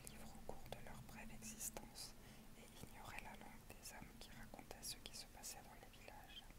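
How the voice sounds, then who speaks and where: She is whispering. The woman's pace stays moderate. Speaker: ASMR creator. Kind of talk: ASMR book reading. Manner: whispered. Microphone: earbuds.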